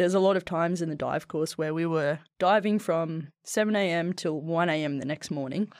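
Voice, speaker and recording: Quick-paced speech from a woman with an Australian accent. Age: 30s. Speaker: former soldier and athlete, tech worker. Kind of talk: casual interview chat. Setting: podcast studio.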